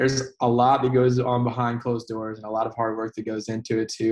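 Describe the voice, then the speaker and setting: Fairly quick, flat monotone speech with an American accent over a quiet background. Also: man. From Indiana. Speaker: country singer. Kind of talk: casual interview.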